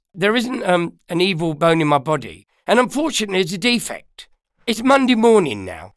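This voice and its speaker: At a moderate pace, a man with a London accent speaks in a high voice with lively intonation. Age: 60s. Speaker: DJ and musician. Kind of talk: interview. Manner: loud; talkative storyteller.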